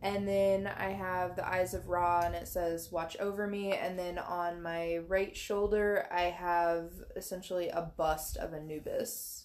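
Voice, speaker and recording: At a fairly slow pace, a woman talks in a fairly low pitch with hardly any pauses. Her intonation stays monotone and flat. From US Midwest (southern Missouri). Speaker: podcast co-host. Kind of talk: casual chat.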